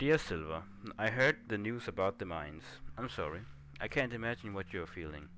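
A man with a non-native accent talks at a fairly quick pace with lively intonation. His fairly low voice has a bright, sharp tone. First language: not English. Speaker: gaming YouTuber. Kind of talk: let's play gameplay commentary. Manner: casual, hesitant with fillers.

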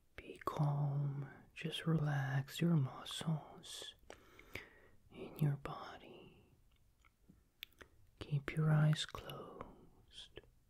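Soft-spoken and somewhat breathy, a man talks very slowly in a soothing, monotone, flat voice with long, frequent pauses against a quiet background. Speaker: ASMR creator. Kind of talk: soothing sleep guidance. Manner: soft, hushed soothing murmur. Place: home room.

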